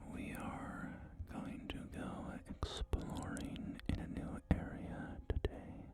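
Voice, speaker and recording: Very slow whispering over noticeable background noise. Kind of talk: ASMR gameplay commentary. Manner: whispered.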